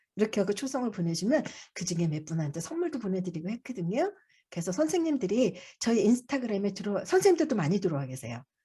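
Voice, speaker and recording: The tone is dark and mellow, somewhat breathy, with very wide pitch swings. Delivery comes at a very fast pace. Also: woman, medium pitch for a woman. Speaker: childcare support center director presenting. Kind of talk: online briefing presentation. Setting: video call.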